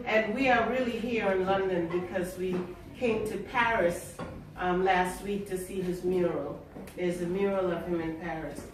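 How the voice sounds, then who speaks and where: Against noticeable background noise, a woman talks at a moderate pace with a medium pitch and fairly even intonation. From Trinidad and Tobago, raised in Queens, New York. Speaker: poet. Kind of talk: poetry reading with spoken introductions.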